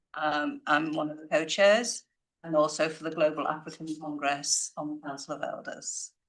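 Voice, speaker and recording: A woman speaks with a Liverpool accent. Her voice is very deep and low, with fairly even intonation. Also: moderate pace. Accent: Liverpool (Scouse) English. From northern England, Liverpool. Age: 70s. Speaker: community advocate. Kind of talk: audience question at media briefing. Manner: rambling, conversational.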